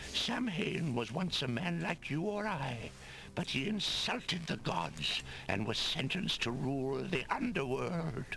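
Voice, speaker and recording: A man's put-on character voice, fairly high in pitch and at a fairly slow pace, over clear background noise. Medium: video game. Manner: solemn, formal.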